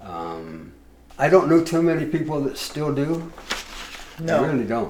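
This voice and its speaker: Noticeable background noise sits behind a man talking at a moderate pace in a fairly high pitch with ordinary pitch variation. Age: 70s. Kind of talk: interview answer.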